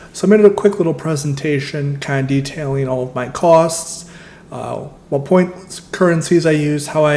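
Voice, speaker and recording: There's audible room echo and noticeable background noise. A man with an American accent talks fairly quickly in a fairly high voice, with ordinary pitch variation. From US Midwest. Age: 20s. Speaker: travel and credit card points vlogger. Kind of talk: casual presentation walkthrough.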